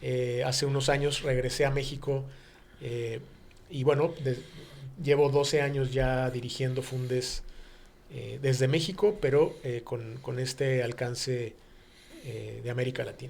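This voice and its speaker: A somewhat breathy man at medium pitch, fairly slow, with fairly even intonation and long, frequent pauses. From Mexico City. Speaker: business executive. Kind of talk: radio interview. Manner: halting, many fillers.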